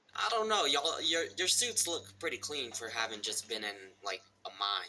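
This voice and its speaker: A man puts on a character voice, drawling at a moderate pace with a fairly high pitch. His pitch swings very widely throughout. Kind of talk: tabletop in-character speech. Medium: actual play. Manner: casual, drawling, says "y'all".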